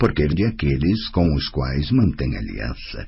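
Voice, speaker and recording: A man uses a put-on character voice, rumbling and very deep, with very wide pitch swings. He goes at a moderate pace over light background noise. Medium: audio drama. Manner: grumbling, blunt.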